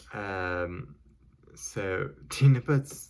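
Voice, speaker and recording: Soft-spoken and somewhat breathy, a man talks with a very deep, low pitch. His intonation is lively. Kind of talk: casual movie review.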